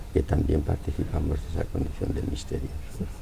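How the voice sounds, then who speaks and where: Noticeable background noise surrounds a man as he speaks. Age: 80s+. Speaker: philosopher. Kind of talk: interview answer.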